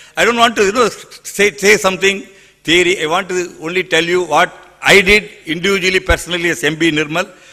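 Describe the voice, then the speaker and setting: Amid noticeable background noise, a man with a high pitch talks at a fairly quick pace. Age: 60s. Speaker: environmental activist. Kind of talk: panel talk with slides. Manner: animated.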